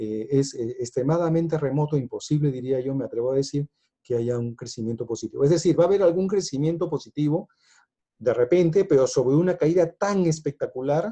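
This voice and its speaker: A somewhat breathy voice with a dark, mellow tone moves at a fairly quick pace, with ordinary pitch variation. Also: man. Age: 60s. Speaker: economics speaker. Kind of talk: lecture. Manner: hesitant, many fillers.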